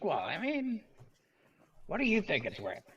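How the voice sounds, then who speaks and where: Using a put-on character voice, a man pitches his speech extremely high. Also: fairly quick pace. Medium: actual play.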